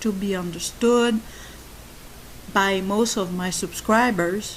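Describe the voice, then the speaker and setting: Speaking with a French accent, a woman goes at a very slow pace with fairly even intonation. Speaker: YouTuber on codependency and narcissistic abuse. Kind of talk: monologue talk. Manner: halting.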